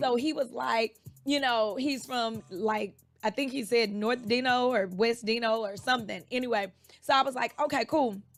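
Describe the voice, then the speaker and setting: Over music in the background, a woman talks at a moderate pace with a fairly high pitch and ordinary pitch variation. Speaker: fitness instructor. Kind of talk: radio interview. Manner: animated.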